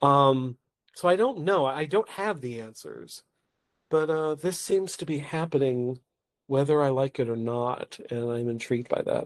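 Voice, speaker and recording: A man with an American accent at a fairly slow pace, fairly high in pitch, with ordinary pitch variation. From Oklahoma, US. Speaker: playwright and solo performer. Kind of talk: podcast interview. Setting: podcast.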